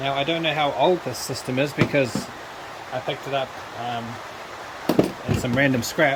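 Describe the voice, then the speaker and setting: A man speaks in a fairly high pitch with fairly even intonation, leaving long, frequent pauses. Noticeable background noise runs behind him. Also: moderate pace. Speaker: electronics scrapping hobbyist. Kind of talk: tutorial. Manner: soft-spoken.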